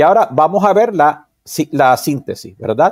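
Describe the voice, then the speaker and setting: A man is speaking. The background is quiet. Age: 60s. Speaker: psychologist and vedic astrologer; guest. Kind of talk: interview. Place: home room. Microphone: webcam.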